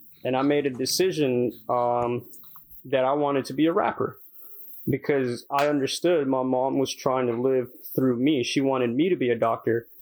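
The man has an ordinary speaking voice at a medium pitch. His intonation stays fairly even. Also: moderate pace. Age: 20s. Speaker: podcast co-host, aspiring rapper. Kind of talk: casual chat.

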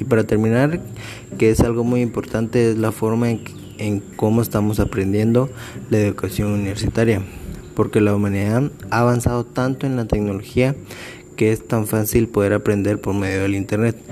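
A man with a Guatemalan accent talks at a moderate pace with fairly even intonation. Noticeable background noise runs behind him. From Guatemala, San Marcos and Quetzaltenango area. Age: 20s. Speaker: law student. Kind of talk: personal reflection monologue.

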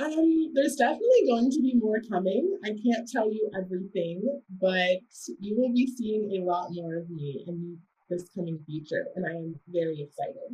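A woman with an American accent speaks at medium pitch in a dark, mellow, somewhat breathy tone. Her pace is moderate, and her pitch swings very widely. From US South, South Carolina. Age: young. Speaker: rapper and student. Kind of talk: interview.

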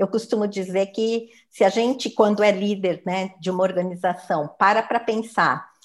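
Hers is a normal speaking voice, pitched medium for a woman. She goes at a moderate pace with ordinary pitch variation. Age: 60s. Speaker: human resources professional. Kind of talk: interview.

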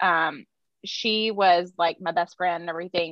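A woman with a Southern US accent, medium pitch and fairly even intonation. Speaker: podcast host. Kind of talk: casual chat.

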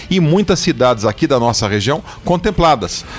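Lively intonation marks a man talking at a moderate pace amid noticeable background noise. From Sorocaba, São Paulo state, Brazil. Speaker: state housing secretary. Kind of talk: interview.

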